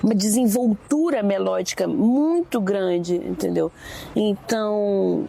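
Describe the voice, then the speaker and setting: Her voice sits at a medium pitch and moves with lively intonation as she talks at a very slow pace. Background noise is noticeable behind her. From Brazil, Rio de Janeiro suburbs (Realengo). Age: 40s. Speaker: singer and composer. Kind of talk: public conversation on campus.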